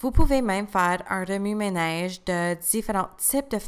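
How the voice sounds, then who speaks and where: Ordinary pitch variation at a moderate pace. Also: woman. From Eastern Ontario, Canada (Cornwall area). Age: 20s. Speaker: new teacher and podcast host. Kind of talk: scripted personal testimony. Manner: read-aloud, prepared delivery.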